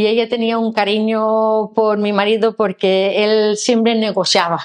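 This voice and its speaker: Against a quiet background, a woman with a fairly high pitch speaks at a fairly slow pace in a monotone, flat intonation. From Denmark, Copenhagen. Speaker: former tour guide, foreign resident; former tour guide. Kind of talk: testimony. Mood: warm, moved, smiling. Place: office. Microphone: lapel.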